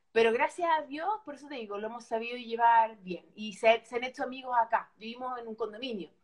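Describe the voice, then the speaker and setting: A woman's fairly high voice at a fairly quick pace, with big swings in loudness, ordinary pitch variation and hardly any pauses. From Chile. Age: 40s. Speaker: former TV presenter. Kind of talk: casual chat.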